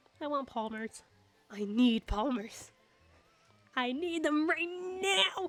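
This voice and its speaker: Shouting in a put-on character voice, a woman speaks at a high pitch with very wide pitch swings, a very slow pace and long, frequent pauses. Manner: yelling, demanding.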